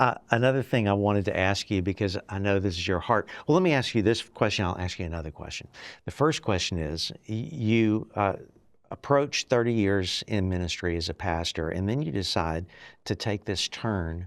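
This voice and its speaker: At a moderate pace, a man speaks in an ordinary speaking voice with a fairly low pitch and ordinary pitch variation, on a very clean recording with a silent background. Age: 60s. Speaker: podcast host. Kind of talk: interview.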